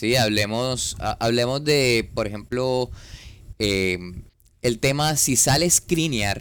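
At a fairly slow pace, a man talks at a medium pitch with ordinary pitch variation. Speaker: podcast co-host, football fan. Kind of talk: casual chat. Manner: halting, repeats words.

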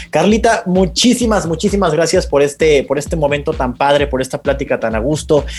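Over noticeable background noise, a man with a Mexican accent talks in an animated tone at a fairly quick pace. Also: hardly any pauses. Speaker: podcast host. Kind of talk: casual interview.

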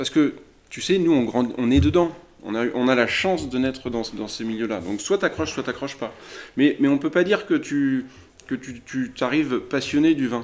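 A man with a medium pitch and lively intonation. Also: moderate pace. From France, Loire Valley (Chinon). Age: 40s. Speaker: winegrower. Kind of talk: interview. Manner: halting, with many repetitions.

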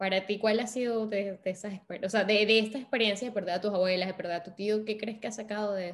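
A woman talks very fast, with hardly any pauses. Her pitch is medium. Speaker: podcast host. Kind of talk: casual interview. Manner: animated.

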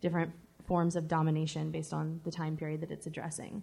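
Fairly low in pitch, a woman's dark, mellow voice is heard in a very clean recording with a silent background. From US South. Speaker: author, anarchist historian. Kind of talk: live interview. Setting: stage with live audience at book fair.

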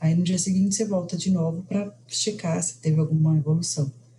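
A woman speaks at a moderate pace in a dark, mellow tone that is somewhat breathy. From Brazil. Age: 40s. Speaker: mother sharing birth story. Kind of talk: interview testimony.

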